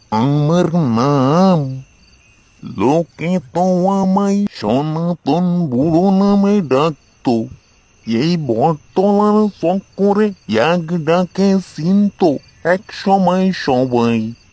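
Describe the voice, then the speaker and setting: A man's cartoonish character voice, high in pitch and very slow. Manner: cryptic, fatalistic, calls listener babu.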